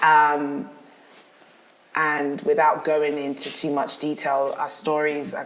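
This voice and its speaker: Speaking very slowly in a South London accent, a woman with a very deep, low pitch and ordinary pitch variation leaves long, frequent pauses amid audible room echo. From South London, England. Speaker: dancer and actress. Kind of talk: casual interview chat.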